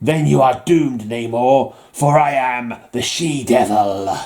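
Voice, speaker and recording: A man puts on a character voice, husky at a medium pitch. He delivers it at a fairly slow pace. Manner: menacing, declarative.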